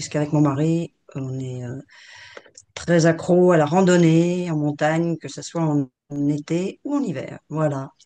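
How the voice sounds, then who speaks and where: A woman with very deep, low pitch and a dark, mellow tone, fairly slow and fairly even in intonation, with big swings in loudness. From France, Grenoble. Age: 60s. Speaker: retired finance executive. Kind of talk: interview. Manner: hesitant, many fillers.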